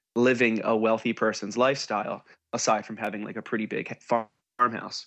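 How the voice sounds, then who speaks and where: A man speaks at a fairly quick pace in an unremarkable speaking voice. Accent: American. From New Jersey, US. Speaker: musician. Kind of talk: casual chat.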